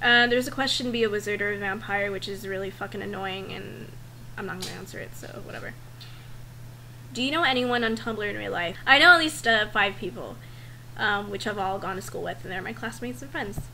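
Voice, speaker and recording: This speaker has a strong Valley Girl accent, very wide pitch swings and big swings in loudness at a fairly quick pace. Noticeable background noise and audible room echo fill the recording. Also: woman, medium pitch for a woman. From Northern California. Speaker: vlogger. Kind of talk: casual vlog, survey answers.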